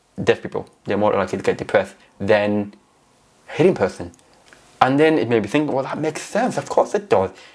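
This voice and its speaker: Talking at a fairly quick pace with long, frequent pauses, a man with a fairly high pitch makes very wide pitch swings. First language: not English. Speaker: deaf public speaker and vlogger. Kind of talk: personal vlog monologue. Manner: speech shaped by deafness and speech therapy.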